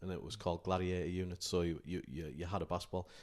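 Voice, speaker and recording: A man with a very deep, low pitch and a northeast England accent, in a very clean recording with a silent background. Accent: northeast England (Durham). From northern England, County Durham. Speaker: basketball coach and college sport manager. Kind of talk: podcast interview. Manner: hesitant, many fillers.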